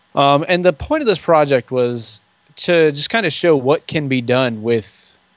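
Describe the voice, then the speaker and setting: The voice has ordinary pitch variation and a moderate pace, recorded dry with no echo against a quiet background. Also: man. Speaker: podcaster and DIY trailer builder. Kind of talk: casual interview chat. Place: home room. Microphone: studio mic.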